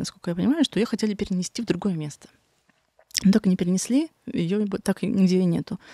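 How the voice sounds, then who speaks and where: Speech comes at a very fast pace with ordinary pitch variation, broken by long, frequent pauses. The sound is dry with no echo, and the background is quiet. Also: woman. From Magadan region, Russian Far East. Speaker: artist; guest. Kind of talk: interview conversation. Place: studio. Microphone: studio mic.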